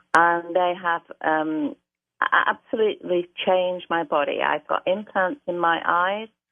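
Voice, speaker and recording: A woman with a British accent, at a fairly low pitch with ordinary variation and a fairly slow pace. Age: 70s. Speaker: caller. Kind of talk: testimony.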